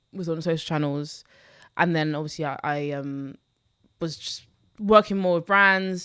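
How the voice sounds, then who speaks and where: A woman with a London accent, fairly low in pitch, at a moderate pace, with big swings in loudness and long, frequent pauses, on a very clean recording with a silent background. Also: ordinary pitch variation. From London, Newham. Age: 20s. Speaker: personal finance content creator. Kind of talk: podcast interview.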